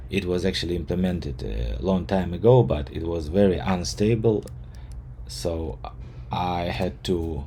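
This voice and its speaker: A man with a non-native accent speaks fairly slowly in a very deep, low voice. His intonation is lively, and the room echo is audible. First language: not English. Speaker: software developer. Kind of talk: tutorial. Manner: halting.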